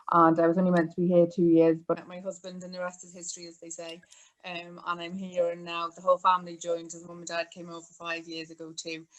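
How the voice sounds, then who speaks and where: A woman with a Welsh accent speaks very fast at a fairly low pitch. Her intonation is monotone and flat, while her loudness shifts in big swings. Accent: Welsh, noticeable. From North Wales. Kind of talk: interview.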